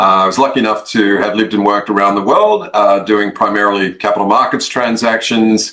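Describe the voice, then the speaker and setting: Over noticeable background noise, a man with an Australian accent speaks in a fairly low, monotone, flat voice at very even loudness, with hardly any pauses. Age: 50s. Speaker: investment firm founder. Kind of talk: interview. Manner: hesitant, many fillers.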